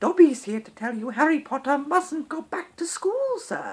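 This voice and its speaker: In a put-on character voice, the speaker sounds high-pitched and squeaky at a moderate pace. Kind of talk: servile, polite.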